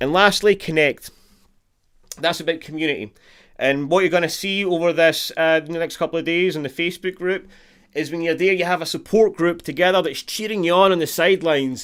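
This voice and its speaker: With a Scottish accent, a man speaks at a fairly quick pace and a high pitch. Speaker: guitar teacher. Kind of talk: live online guitar lesson. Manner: animated.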